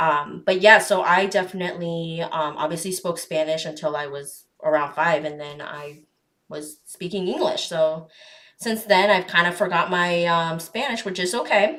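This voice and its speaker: This is an ordinary speaking voice with an American accent. Its pitch variation is ordinary. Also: woman, fairly low pitch for a woman, moderate pace. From Arizona. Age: 20s. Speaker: podcast host. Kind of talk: casual chat.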